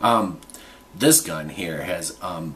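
A man talks with an American accent. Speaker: gun reviewer vlogger. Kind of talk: unscripted product review video. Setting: home, alone, close to camera. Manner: halting, filler-heavy.

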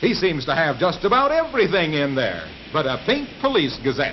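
Noticeable background noise runs under a man's voice. He speaks at a moderate pace with very wide pitch swings. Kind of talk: vintage newsreel narration. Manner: playful, jokey.

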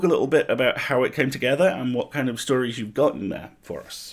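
With lively intonation, a man speaks at a fairly quick pace.

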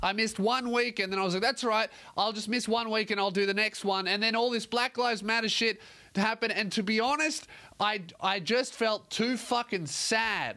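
A man uses a raised, projected voice with a bright, sharp tone. His loudness is very even and his intonation fairly even. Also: moderate pace, quiet background. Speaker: comedian podcast host. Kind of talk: comedic podcast monologue. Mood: mock-apologetic, joking. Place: studio. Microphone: studio mic.

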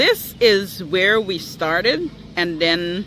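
Over noticeable background noise, a man talks in a high pitch with a dry sound and no echo. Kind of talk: casual vlog chat. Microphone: phone near.

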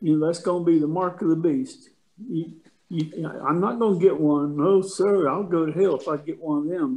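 This man talks at a moderate pace with a high pitch and a dark, mellow tone. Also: ordinary pitch variation. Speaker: Bible study participant. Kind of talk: group discussion. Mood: joking, storytelling. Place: home room. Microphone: video call.

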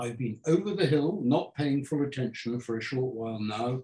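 Over a quiet background with audible room echo, a man speaks in a somewhat breathy voice with a dark, mellow tone. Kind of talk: lecture. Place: home room. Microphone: camera far.

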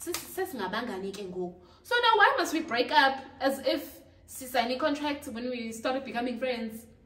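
In a room with audible echo, a woman speaks very slowly at a high pitch with lively intonation. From South Africa, Durban; South Africa. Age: 20s. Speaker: YouTuber; youtuber. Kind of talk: casual vlog chat. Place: home room. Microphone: camera far.

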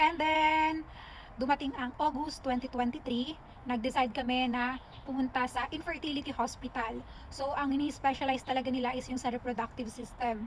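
A woman with a high voice talks at a moderate pace, her intonation fairly even. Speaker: vlogger. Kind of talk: personal vlog testimony. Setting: outdoors in a park.

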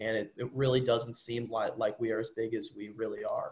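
Somewhat breathy, the voice moves at a fairly quick pace. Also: man. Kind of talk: interview answer. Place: home room. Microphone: video call.

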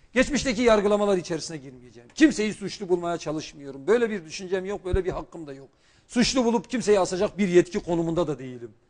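A man with a high pitch rushes along at a very fast pace with hardly any pauses, lively intonation and big swings in loudness, over a quiet background. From Turkey, Şanlıurfa; Turkey. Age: 40s. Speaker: politician, former economics professor; politician guest. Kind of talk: TV political interview. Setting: TV studio, live broadcast. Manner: formal. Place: studio. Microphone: lapel.

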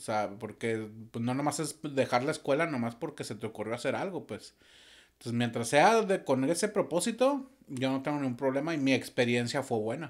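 A man's lively intonation comes through at a moderate pace against a quiet background. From Mexico, Torreón, Coahuila; Coahuila, Mexico. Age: 40s. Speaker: musician and audiovisual producer; podcast guest. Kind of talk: casual interview. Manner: calm. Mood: relaxed, reflective storytelling. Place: studio. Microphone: studio mic.

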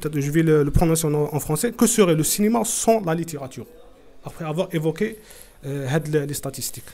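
A man is speaking. His intonation is lively. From Algeria. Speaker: literary club host. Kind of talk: moderated literary discussion. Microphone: webcam.

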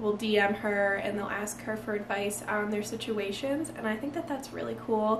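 A woman talks with audible room echo. Light background noise can be heard. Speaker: lifestyle vlogger. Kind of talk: casual vlog chat. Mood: cheerful, laughing often. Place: home room. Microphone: camera far.

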